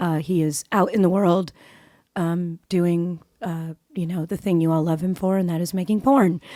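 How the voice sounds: A raspy woman's voice, fairly low in pitch, with a dark, mellow tone, moderate pace and fairly even intonation, on a very clean recording against a silent background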